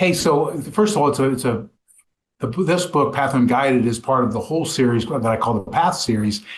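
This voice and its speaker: Lively intonation colors a somewhat breathy voice. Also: man. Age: 60s. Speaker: author and small business owner. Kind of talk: interview. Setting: podcast. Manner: halting, frequent repetitions and fillers.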